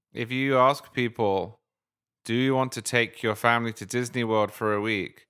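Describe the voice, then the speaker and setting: In a very clean recording with a silent background, a man with an English accent speaks at medium pitch and a moderate pace, his bright, sharp tone held to a monotone, flat intonation. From England. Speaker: podcast host. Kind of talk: casual chat.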